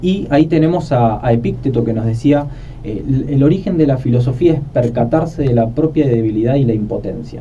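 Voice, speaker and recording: Against noticeable background noise and audible room echo, a man talks fairly quickly. His pitch is medium with ordinary variation. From Argentina, Buenos Aires. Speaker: philosophy podcast host. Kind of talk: conversational podcast discussion.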